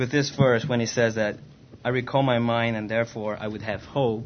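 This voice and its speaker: A man speaks in a normal speaking voice at a moderate pace. His pitch is medium, and his intonation fairly even. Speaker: interpreter. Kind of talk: consecutive interpretation. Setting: church.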